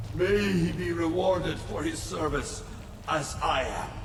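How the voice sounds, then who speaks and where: Using a put-on character voice, a man talks at a fairly slow pace amid loud background noise and slight echo. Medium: video game.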